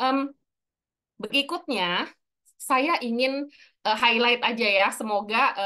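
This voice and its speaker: A woman talks with lively intonation. Her tone is bright and sharp. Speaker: personal branding speaker; speaker. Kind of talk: webinar talk. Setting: video call. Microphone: video call.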